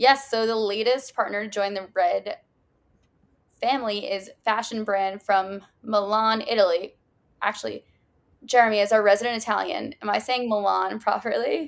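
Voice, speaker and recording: A woman with a plain, everyday voice speaks at a moderate pace in an American accent, her pitch fairly high with ordinary variation. The recording is very clean, with a silent background. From United States. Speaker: brand show co-host. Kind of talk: casual livestream chat.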